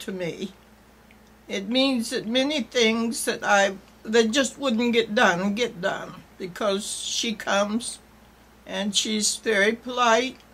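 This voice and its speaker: A woman's fairly high voice, ordinary pitch variation, very slow pace. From Maine. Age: 80s+. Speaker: elderly home care client. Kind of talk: testimony.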